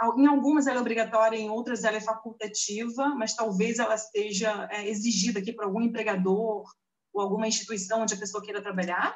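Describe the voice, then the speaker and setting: Speaking with a strong Rio de Janeiro accent, a woman moves at a fairly quick pace with a fairly high pitch and fairly even intonation. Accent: strong carioca Brazilian Portuguese. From Brazil, Rio de Janeiro. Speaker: diploma validation consultant. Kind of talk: interview on a live stream. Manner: hesitant, many fillers.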